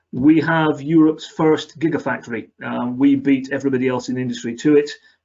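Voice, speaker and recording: A man speaks in a Scottish accent. His pitch is fairly high and his intonation fairly even. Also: fairly quick pace. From Scotland. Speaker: company area manager. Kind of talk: webinar presentation.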